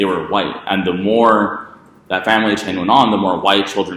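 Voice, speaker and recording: Over noticeable background noise and audible room echo, a man with an American accent speaks at a fairly quick pace in a monotone, flat intonation. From Texas border region. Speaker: debate instructor. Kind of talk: lecture. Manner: hesitant, many fillers.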